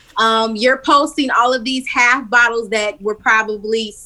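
A woman's fairly high voice at a moderate pace, fairly even in intonation, over noticeable background noise. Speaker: podcast host. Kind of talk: casual chat. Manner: casual, profane.

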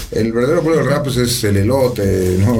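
Noticeable background noise and audible room echo surround a man of medium pitch who speaks at a fairly quick pace. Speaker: rapper. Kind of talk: casual chat.

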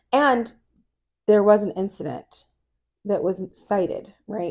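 Vocal fry marks a woman's medium-pitched voice, which has ordinary pitch variation. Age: 40s. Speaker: podcast co-host, mother. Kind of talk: casual chat. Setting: home recording at night.

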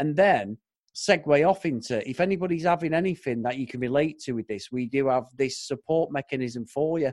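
Speaking fairly quickly with an British accent, a man uses a fairly high pitch and lively intonation, the sound dry and close with no echo on a very clean recording with a silent background. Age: 40s. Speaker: podcaster. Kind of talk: casual chat.

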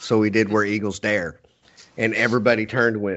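Someone talks at a fairly quick pace with a Texan accent. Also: man. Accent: Texan American. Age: 40s. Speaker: podcast host. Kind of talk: casual interview chat.

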